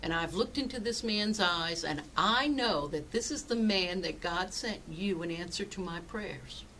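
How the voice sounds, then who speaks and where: With light background noise behind her, a woman talks at a moderate pace. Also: lively intonation. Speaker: pastor. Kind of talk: sermon. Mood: earnest, personal storytelling. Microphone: webcam.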